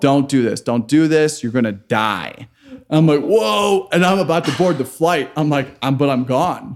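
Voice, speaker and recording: Speaking slowly-ish in an unremarkable speaking voice, a man with an American accent keeps his loudness very even, his fairly high pitch moving with lively intonation. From US Midwest, Chicago. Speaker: microgreens entrepreneur, former software worker. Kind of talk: casual roundtable chat.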